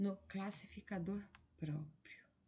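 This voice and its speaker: Soft-spoken and somewhat breathy, a woman talks in a dark, mellow tone with ordinary pitch variation. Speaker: exam-prep teacher. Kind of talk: lecture. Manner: soft-spoken, speaking low at 1am; slow.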